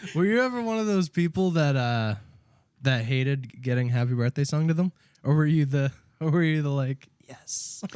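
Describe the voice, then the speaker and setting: With a plain, everyday voice, a man speaks at a moderate pace, his fairly high pitch carried by lively intonation. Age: 20s. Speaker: podcast co-host. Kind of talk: casual chat.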